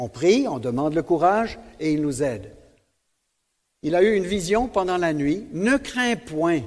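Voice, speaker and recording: In a very clean recording with a silent background, a man speaks at a high pitch with very wide pitch swings. He goes at a fairly slow pace, with long, frequent pauses. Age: 70s. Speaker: preacher. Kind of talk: sermon.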